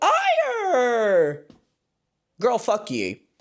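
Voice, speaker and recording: Using a put-on character voice with an American accent, a man speaks at an extremely high pitch with very wide pitch swings. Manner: obnoxious, exaggerated.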